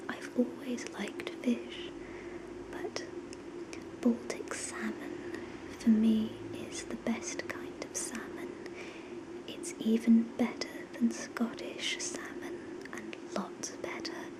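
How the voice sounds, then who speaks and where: Very slow, soft-spoken whispering in a gentle tone, with long, frequent pauses and noticeable background noise. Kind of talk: ASMR whisper talk to camera. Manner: whispered, soft, gentle.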